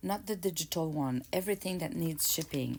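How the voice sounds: Speaking at a fairly quick pace, a woman with a low pitch and slightly mellow tone uses lively intonation and some vocal fry.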